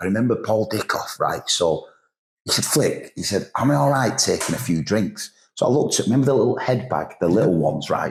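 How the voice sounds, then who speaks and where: With a northern English accent, a man talks at a fairly quick pace. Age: 50s. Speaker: football manager. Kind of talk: casual chat.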